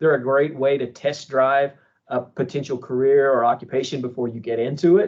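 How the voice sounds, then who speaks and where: Speaking at a fairly quick pace, a man with a Texan accent shows ordinary pitch variation. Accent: own accent remarked on, Texan. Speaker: university internship program director. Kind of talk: webinar conversation.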